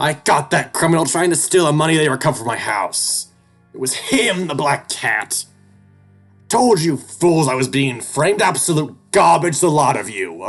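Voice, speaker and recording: A man puts on a character voice at a fairly high pitch, with faint music in the background. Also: moderate pace. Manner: furious, over the top; scornful.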